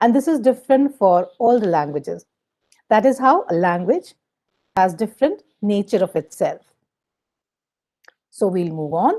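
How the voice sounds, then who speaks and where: With long, frequent pauses, a woman speaks in a fairly high pitch. Her tone is dark and mellow, and her pitch swings very widely. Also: moderate pace. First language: Hindi. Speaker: teacher trainer. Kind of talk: lecture.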